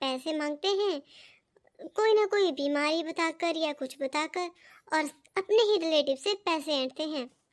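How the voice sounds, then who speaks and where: This is a cartoonish character voice with an extremely high pitch. The pace is moderate. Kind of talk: moral-story narration. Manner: explanatory.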